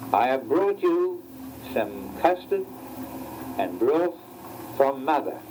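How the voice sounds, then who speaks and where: A man talking very slowly, with long, frequent pauses and noticeable background noise. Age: 80s+. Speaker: amateur photographer reading children's stories to his family. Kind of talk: children's story reading. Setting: home recording from 1975, vintage tape.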